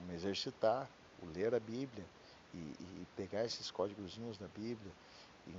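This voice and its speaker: Fairly low-pitched male voice at a moderate pace. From Brazil, Curitiba. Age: 40s. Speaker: podcaster. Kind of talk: personal monologue. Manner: halting, losing thread.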